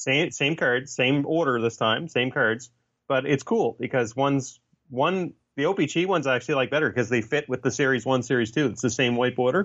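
This is a man with a Canadian accent and an ordinary speaking voice. His medium pitch varies in an ordinary way at a fairly quick pace. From Canada. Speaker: author and graphic designer. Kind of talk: casual chat.

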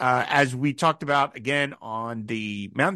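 A man's bright, sharp-toned voice. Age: 50s. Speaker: film podcast host. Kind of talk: casual chat.

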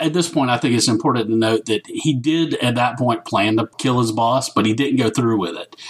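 The speaker has a strong Southern US accent and a fairly quick pace with hardly any pauses. Noticeable background noise runs underneath. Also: man, medium pitch for a man, ordinary pitch variation. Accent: thick Southern US. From US South. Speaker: guest co-host. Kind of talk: casual chat.

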